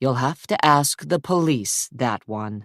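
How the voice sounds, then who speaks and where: Dry and close with no echo, a man puts on a character voice at medium pitch. His intonation is lively and his pace fairly slow. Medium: read story. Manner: clipped, terse.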